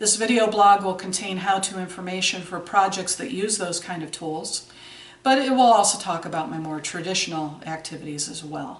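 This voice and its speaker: Audible room echo and noticeable background noise surround a woman's voice. She talks at a moderate pace with big swings in loudness. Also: medium pitch for a woman, ordinary pitch variation. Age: 60s. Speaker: video blogger. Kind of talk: scripted video blog. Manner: formal.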